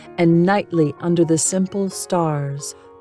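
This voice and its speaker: Over music in the background, a woman speaks in a calm tone at a very slow pace, her intonation fairly even. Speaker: narrator. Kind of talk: poetry reading. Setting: home studio. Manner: relaxing, calm.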